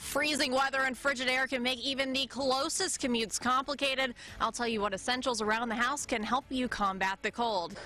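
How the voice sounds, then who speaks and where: A woman's high, raised, projected voice with ordinary pitch variation, a fairly quick pace and a dry sound with no echo. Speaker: TV news anchor and reporter. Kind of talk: TV news broadcast.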